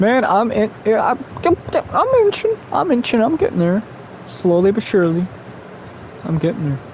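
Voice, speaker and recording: Noticeable background noise surrounds a man speaking at a moderate pace. He leaves long, frequent pauses. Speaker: streamer. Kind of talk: casual live-stream chat while gaming. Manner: rambling, run-on speech; halting, with stutters and fillers.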